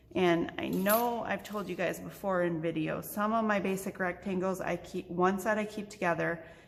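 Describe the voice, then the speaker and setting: Through noticeable background noise, a woman speaks at a moderate pace with fairly even intonation. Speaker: crafting tutorial host. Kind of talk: tutorial. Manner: soft-spoken. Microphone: too quiet, no proper microphone yet.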